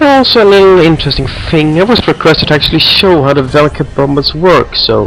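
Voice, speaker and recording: Noticeable background noise sits under speech delivered very fast. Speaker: gaming video creator. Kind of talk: gameplay commentary.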